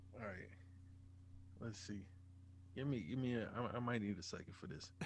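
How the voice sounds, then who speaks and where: In a room with audible echo, a man talks at a moderate pace in a fairly low, somewhat breathy voice with ordinary pitch variation. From US South, Norfolk, Virginia. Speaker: rapper. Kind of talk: interview. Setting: studio.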